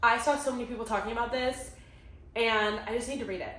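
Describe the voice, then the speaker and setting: A woman speaks very fast at a fairly high pitch with ordinary pitch variation, her voice carrying audible room echo over noticeable background noise. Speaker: booktube creator. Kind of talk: casual vlog chat.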